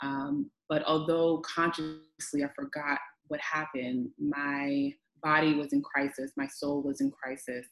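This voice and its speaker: Music plays behind a woman with a very deep, low voice. She speaks fairly slowly in a monotone, flat intonation. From Honduran and Vincentian family. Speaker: priestess and holistic wellness practitioner. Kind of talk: casual chat.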